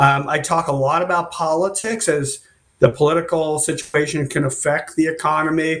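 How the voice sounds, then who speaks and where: This man has an ordinary speaking voice, fairly high in pitch. He talks at a moderate pace with fairly even intonation. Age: 60s. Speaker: economist. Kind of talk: interview. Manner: casual, with many fillers.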